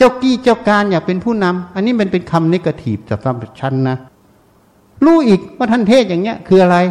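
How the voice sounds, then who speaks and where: A man talks in a high pitch, his intonation lively throughout. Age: 60s. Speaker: Buddhist monk. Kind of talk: sermon.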